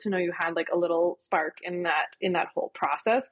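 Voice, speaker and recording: A woman with an American accent, an ordinary speaking voice, a fairly quick pace and fairly even intonation. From Philadelphia, US. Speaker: lawyer turned entrepreneur. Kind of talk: casual interview chat.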